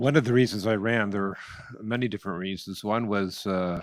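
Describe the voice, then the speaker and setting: Talking at a fairly quick pace with a Nova Scotian accent, a man uses a fairly low pitch with ordinary variation. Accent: Canadian (Nova Scotia). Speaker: political candidate. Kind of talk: political debate. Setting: candidates forum. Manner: halting.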